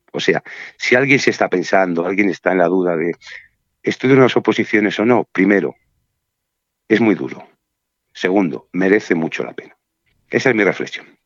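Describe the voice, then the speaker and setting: Here a man talks at a moderate pace with fairly low pitch and ordinary pitch variation. His speech has long, frequent pauses. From Spain, Burgos. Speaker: civil servant in the justice system. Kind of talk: interview. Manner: calm.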